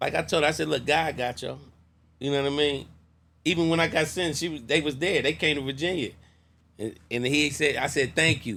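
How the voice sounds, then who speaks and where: Talking at a very fast pace, the speaker has vocal fry and fairly even intonation. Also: man, fairly high pitch for a man. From US Midwest, Columbus, Ohio. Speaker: former prisoner, community builder. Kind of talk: interview.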